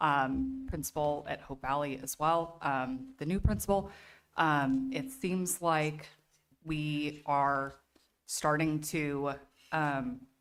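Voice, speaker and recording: Shaky and very slow, a woman speaks with a very deep, low pitch and fairly even intonation. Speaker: parent speaking at public comment. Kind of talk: public comment at school board meeting. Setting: school committee meeting, public comment. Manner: halting.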